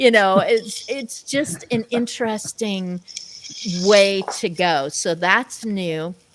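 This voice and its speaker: A woman speaks at a very slow pace with ordinary pitch variation. Noticeable background noise is present. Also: medium pitch for a woman. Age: 60s. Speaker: talk show host. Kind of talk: casual chat.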